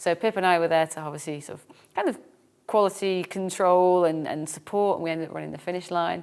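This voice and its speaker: Speaking very fast in an English accent, a woman keeps a fairly low pitch and fairly even intonation. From England. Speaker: fitness race organiser and podcast co-host. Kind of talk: casual chat.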